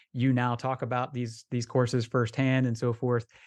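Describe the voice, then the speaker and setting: In an American accent, a man speaks at a medium pitch, the sound dry and close with no echo. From Florida, US. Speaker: golf travel podcast co-host. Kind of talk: casual chat.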